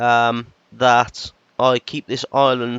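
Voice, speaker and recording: This man's voice has a British accent. It sits at a medium pitch. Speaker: gaming YouTuber. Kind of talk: gameplay commentary. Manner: hesitant, lots of fillers.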